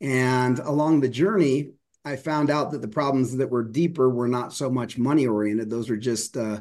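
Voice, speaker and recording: In a plain, everyday voice, a man with an American accent speaks at a moderate pace with ordinary pitch variation. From US, Denver. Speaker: professional speaker and communication coach. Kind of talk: interview conversation.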